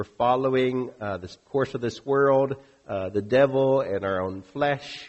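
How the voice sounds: The speaker reads in a natural reading voice, the pitch varying in an ordinary way.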